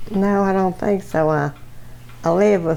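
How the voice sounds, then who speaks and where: In a Virginia accent, a woman speaks at a fairly slow pace with lively intonation. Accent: rural Virginia Southern US. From Virginia, US South. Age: 80s+. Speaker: World War II factory worker. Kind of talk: interview.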